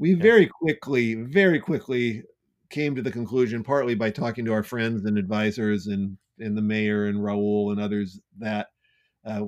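Here a man speaks in a fairly low voice with a Californian accent. His pitch varies in an ordinary way. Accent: Californian American. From US West Coast, Santa Clara, California. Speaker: entrepreneur and nonprofit executive director. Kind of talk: casual interview.

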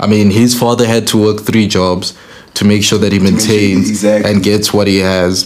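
With noticeable background noise behind it, the voice moves at a moderate pace with fairly even intonation. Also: man. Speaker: podcast host. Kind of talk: casual chat. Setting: studio.

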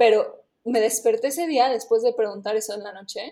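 A woman speaks at a moderate pace with a fairly high pitch. Her tone is dark and mellow. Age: 20s. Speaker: travel startup employee, programmer. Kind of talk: casual interview.

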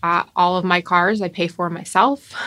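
With an American accent, a woman of fairly low pitch speaks in a bright, sharp tone in a very clean recording with a silent background. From US South, Palm Beach area, Florida. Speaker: podcast co-host. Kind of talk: casual chat.

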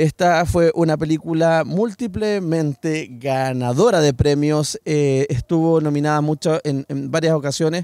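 A man's dark, mellow voice with a Chilean accent, at a fairly slow pace with ordinary pitch variation and a dry, close sound with no echo. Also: fairly high pitch for a man. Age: 40s. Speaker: podcast host. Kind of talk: casual chat.

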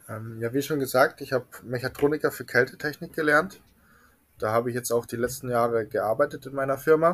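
With an unremarkable speaking voice, a man talks at a fairly quick pace and medium pitch, ordinary in pitch variation, in a very clean recording with a silent background. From Bavaria, Munich. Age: 20s. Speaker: refrigeration mechatronics technician. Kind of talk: casual interview.

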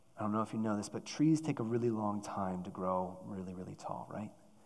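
There is audible room echo. A man speaks at a fairly low pitch. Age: 30s. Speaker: church staff preacher. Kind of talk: sermon. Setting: church.

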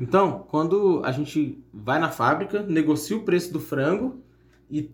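Speaking at a moderate pace, a man has an ordinary speaking voice, a fairly high pitch and lively intonation. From São Paulo state, Brazil (São José dos Campos). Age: 30s. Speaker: entrepreneur and singer. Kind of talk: casual chat.

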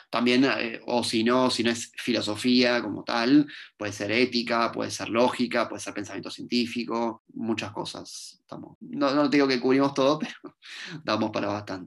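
With a plain, everyday voice, a man of medium pitch speaks at a moderate pace with fairly even intonation. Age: 20s. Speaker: philosophy professor. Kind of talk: interview.

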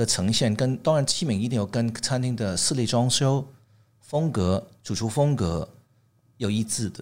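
A man speaks at a medium pitch and a fairly slow pace, with lively intonation. The recording is very clean, with a silent background. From Hong Kong and Canada. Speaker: tableware designer. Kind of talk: interview. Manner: halting.

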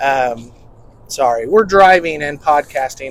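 A man's fairly high voice with ordinary pitch variation, a normal speaking voice. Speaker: podcast host. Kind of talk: casual chat. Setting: in a car. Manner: casual, chatty.

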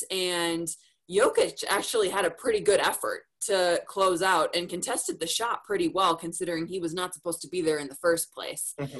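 A woman with an American accent speaks in a normal speaking voice at a medium pitch. She talks at a fairly quick pace, and her loudness swings a lot. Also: ordinary pitch variation. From Minnesota. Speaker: sports reporter and TV anchor. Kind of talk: casual interview. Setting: video call.

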